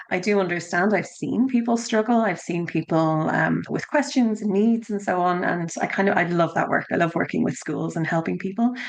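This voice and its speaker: A woman with an Irish accent, fairly quick and with hardly any pauses, ordinary pitch variation, over noticeable background noise. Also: medium pitch for a woman. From Ireland (Dublin). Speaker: education consultant. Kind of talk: podcast interview.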